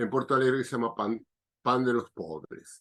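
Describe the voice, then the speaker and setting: The voice belongs to a man. It sits in a medium pitch range. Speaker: biodanza facilitator. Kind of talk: interview answer.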